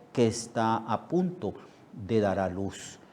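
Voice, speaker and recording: Amid audible room echo, a man with a dark, mellow tone speaks at a very slow pace. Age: 70s. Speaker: pastor. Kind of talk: sermon. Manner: halting, many fillers and repetitions.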